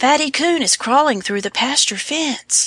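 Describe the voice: Putting on a squeaky character voice, a woman speaks high-pitched at a moderate pace.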